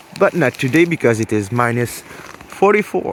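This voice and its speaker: A man speaks with a Quebec accent and lively intonation over noticeable background noise. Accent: Québécois French accent in English. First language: French. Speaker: hunting vlogger. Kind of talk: outdoor hunting vlog. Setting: outdoors in cold snowy woods.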